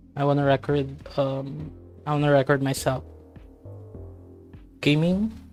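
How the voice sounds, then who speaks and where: Moderately paced speech with long, frequent pauses over background music. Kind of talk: casual gaming commentary. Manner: calm, clear diction.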